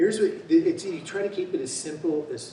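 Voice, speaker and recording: A man with a West Coast accent at a moderate pace, with noticeable background noise and audible room echo. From California (Marin County). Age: 60s. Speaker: bicycle frame builder. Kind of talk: seminar talk with Q&A. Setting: seminar room with audience. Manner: casual, halting with fillers.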